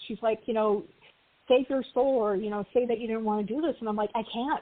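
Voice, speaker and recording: A woman in an ordinary speaking voice, fairly high in pitch, with ordinary pitch variation and a fairly quick pace. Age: 40s. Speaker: tarot author. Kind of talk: casual chat.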